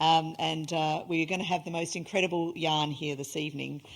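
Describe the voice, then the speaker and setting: A woman with an Australian accent speaks fairly quickly in a very deep, low, flat monotone, captured in a very clean recording with a silent background. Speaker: event host, reconciliation organisation leader. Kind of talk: event introduction speech. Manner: hesitant, many fillers.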